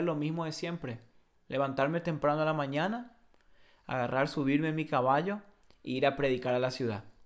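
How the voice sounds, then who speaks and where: This man has a strong Paraguayan accent. His pitch is fairly high and his intonation fairly even. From Paraguay (Encarnación). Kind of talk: casual chat.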